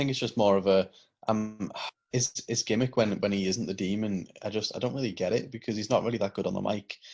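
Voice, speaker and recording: In a British accent, a man speaks at a very fast pace. His pitch is fairly low and his intonation fairly even. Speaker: wrestling podcast co-host. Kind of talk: casual chat.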